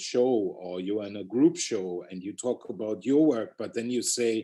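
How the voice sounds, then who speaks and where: Lively in intonation, a man with a German accent speaks at a moderate pace, his medium-pitched voice carrying a dark, mellow tone. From Germany. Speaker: street artist. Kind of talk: interview. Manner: halting.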